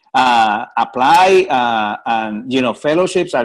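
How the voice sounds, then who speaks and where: A man with a strong Puerto Rican accent, a fairly high pitch and lively intonation. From Puerto Rico. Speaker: research funding program director. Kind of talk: panel discussion.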